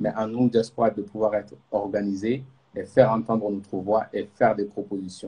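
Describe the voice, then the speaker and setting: At a moderate pace, a speaker with a Malian accent delivers a monotone, flat intonation in a dark, mellow tone. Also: man, fairly low pitch for a man. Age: young. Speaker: youth organization president. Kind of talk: live interview. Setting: Instagram live stream.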